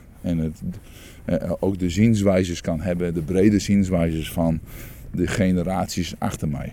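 A man speaks at a fairly slow pace in a very deep, low pitch. His tone is dark and mellow. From Friesland, Netherlands. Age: 40s. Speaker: business owner. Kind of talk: casual interview. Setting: outdoors on a walk.

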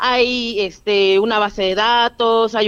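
Her voice is fairly high in pitch, and the woman speaks with monotone, flat intonation. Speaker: nonprofit director. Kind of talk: interview.

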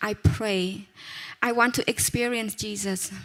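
Over music in the background, a woman speaks at a fairly slow pace with a fairly high pitch and fairly even intonation. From Cambodia. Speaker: pastor's wife. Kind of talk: testimony.

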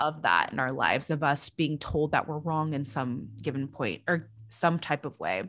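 A woman speaks with a very deep, low pitch and vocal fry, with ordinary pitch variation. She leaves hardly any pauses in a very clean recording with a silent background. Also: moderate pace. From Filipino heritage. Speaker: life coach podcast co-host. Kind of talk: casual chat.

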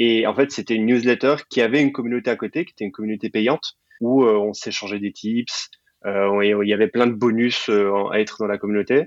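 Delivered at a fairly quick pace with ordinary pitch variation, the speech has a dry, close sound with no echo. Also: man. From Belgium, partly raised in Sicily. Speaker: Web3 program manager and growth expert. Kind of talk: interview. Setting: podcast recording. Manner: halting, many fillers and repetitions.

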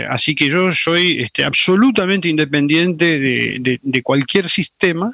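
At a fairly slow pace, a man speaks in a fairly high voice with ordinary pitch variation and very even loudness, sounding dry and close with no echo. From Argentina, Salta. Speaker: forensic doctor, UN human rights expert. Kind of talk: interview. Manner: halting, many fillers.

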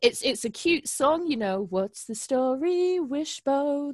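A woman's high voice with a British accent, very slow and lively in intonation, in a dry, close recording with no echo. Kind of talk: casual chat. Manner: casual, swears.

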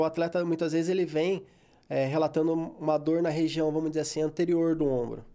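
A man's fairly high voice with a dark, mellow tone. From Brazil, São Paulo state (Guaratinguetá). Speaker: sports physiotherapist. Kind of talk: interview.

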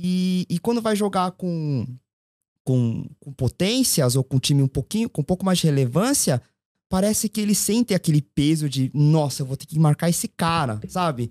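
A normal speaking voice from a man, fairly high in pitch with lively intonation, at a moderate pace, dry and close with no echo, on a very clean recording with a silent background. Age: 40s. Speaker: football commentator guest, marketing agency owner. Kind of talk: casual chat.

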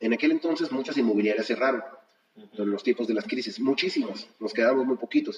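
With a normal speaking voice at medium pitch, a man talks at a fairly quick pace with lively intonation. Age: 50s. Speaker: real estate broker. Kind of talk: interview.

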